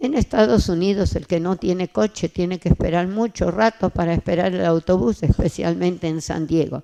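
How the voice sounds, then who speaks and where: The voice has a dark, mellow tone and ordinary pitch variation, at a moderate pace. The sound is dry and close with no echo, and there are hardly any pauses. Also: woman, fairly low pitch for a woman. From Argentina, Buenos Aires. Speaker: church testimony speaker. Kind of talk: testimony.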